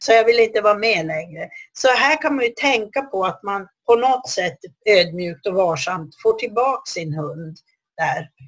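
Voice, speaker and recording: A woman at medium pitch speaks with very wide pitch swings. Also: moderate pace. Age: 60s. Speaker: dog trainer and institute head. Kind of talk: solo podcast talk. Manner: hesitant.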